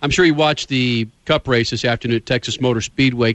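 Talking at a fairly quick pace, a man holds a medium pitch. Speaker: motorsports radio host. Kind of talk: radio talk show. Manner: animated.

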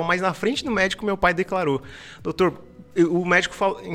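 A male voice varies its pitch a normal amount amid clearly audible background noise. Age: 20s. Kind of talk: casual interview chat. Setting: studio.

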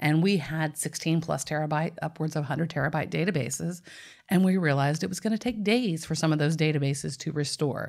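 A woman with a Nashville accent speaks very fast in a very deep, low voice, on a very clean recording with a silent background. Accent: Southern US (Nashville). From Tennessee, US South.

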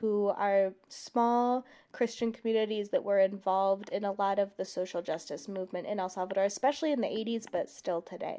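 A woman's dark, mellow voice at medium pitch, fairly quick and fairly even in intonation, against a quiet background. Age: 20s. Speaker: podcast co-host. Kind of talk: casual chat.

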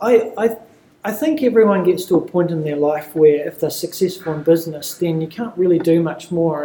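A man with a New Zealand accent talks at a fairly quick pace in a high voice. His intonation stays fairly even, and there is noticeable background noise. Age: 30s. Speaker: property management consultant. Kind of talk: casual interview. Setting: conference.

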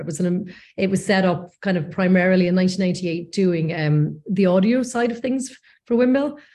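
Speaking fairly quickly in a Northern Irish accent, a woman with a medium-pitched, dark, mellow, somewhat breathy voice uses ordinary pitch variation. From Northern Ireland, North Coast. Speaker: post-production executive. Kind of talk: interview.

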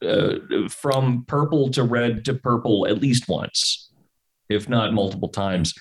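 A man speaks very slowly. His pitch sits in the medium range. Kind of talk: casual chat.

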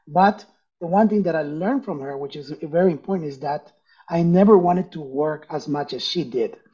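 A man's high voice at a fairly quick pace in a Spanish accent, with ordinary pitch variation and big swings in loudness. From Ecuador (Quito), moved to US at 12. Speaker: entrepreneur and business coach. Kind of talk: interview.

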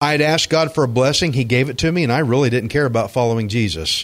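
A man with a Texan accent, medium-pitched, animated and lively in intonation, on a very clean recording with a silent background. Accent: Texan country drawl. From Texas (Alvin, Gulf Coast). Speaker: pastor. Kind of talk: sermon.

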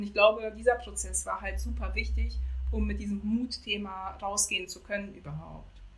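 A woman speaks at a moderate pace with big swings in loudness, against noticeable background noise. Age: 40s. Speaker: civil servant and founder of a courage movement. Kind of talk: casual interview. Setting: remote call from Jamaica.

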